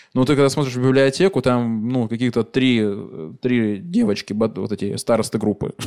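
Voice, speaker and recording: A man speaks at a moderate pace in a dark, mellow tone, his medium pitch moving with ordinary variation, on a very clean recording with a silent background. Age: 30s. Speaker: comedian hosting live podcast. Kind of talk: live stand-up style podcast with audience. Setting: stage with live audience. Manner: animated.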